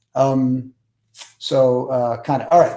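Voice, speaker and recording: The speech comes at a very slow pace. Room echo is audible. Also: man. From New York. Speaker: public speaking coach. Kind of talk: webinar teaching. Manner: energetic.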